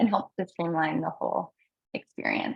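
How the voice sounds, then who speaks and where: A somewhat breathy woman's voice. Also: dry, close sound with no echo. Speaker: software company representative. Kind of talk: webinar product demo. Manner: fast.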